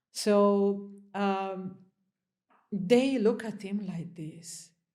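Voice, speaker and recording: A woman speaks with an Italian accent. Audible room echo is present. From Italy. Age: 30s. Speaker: interview guest. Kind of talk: interview conversation.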